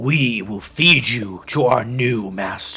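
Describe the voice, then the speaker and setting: In a growling, put-on character voice at a medium pitch, a man speaks at a fairly slow pace as faint music plays in the background. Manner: growling, menacing.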